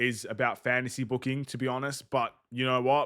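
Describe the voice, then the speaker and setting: His pitch is medium. The man talks fairly quickly. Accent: Australian. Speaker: gaming streamer. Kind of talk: gameplay livestream commentary. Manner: casual.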